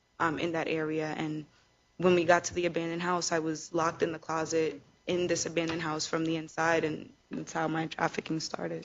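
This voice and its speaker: In a New York accent, a woman speaks at a fairly quick pace, her fairly low voice flat and monotone. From Queens, New York. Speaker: trafficking survivor speaker. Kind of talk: panel interview testimony. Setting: event with live audience.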